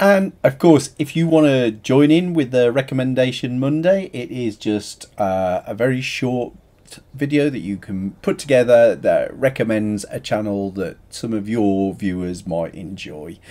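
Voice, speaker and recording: His voice dark and mellow, a man speaks at a fairly slow pace with very wide pitch swings. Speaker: channel host. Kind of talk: casual vlog chat. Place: home room. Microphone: webcam.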